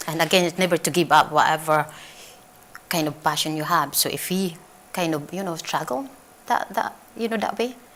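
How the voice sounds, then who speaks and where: Speaking at a fairly quick pace with long, frequent pauses, a woman with a non-native accent has a fairly low pitch and ordinary pitch variation, with noticeable background noise behind her. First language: not English. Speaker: talk show guest. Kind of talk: casual chat.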